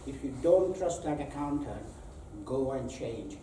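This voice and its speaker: Fairly high in pitch, a man speaks at a fairly slow pace with ordinary pitch variation. Audible room echo and noticeable background noise are present. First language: not English. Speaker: accountant giving a talk. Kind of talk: presentation to live audience.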